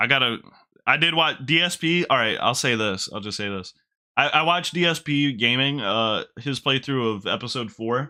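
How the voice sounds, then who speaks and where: Here is a man with an unremarkable speaking voice. He talks at a medium pitch and a moderate pace. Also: ordinary pitch variation. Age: 20s. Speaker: gaming streamer. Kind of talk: live let's play commentary. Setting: live stream.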